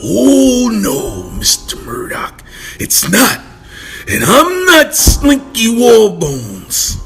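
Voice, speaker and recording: Using a cartoonish character voice, a man talks at a very slow pace. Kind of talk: comic cartoon villain. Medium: audio drama. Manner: pompous, grandiose.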